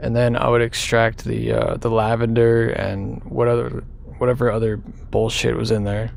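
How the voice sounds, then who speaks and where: The man's moderate pace is accompanied by audible room echo and noticeable background noise. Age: 20s. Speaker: vlogger. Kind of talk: personal confession. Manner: halting; casual.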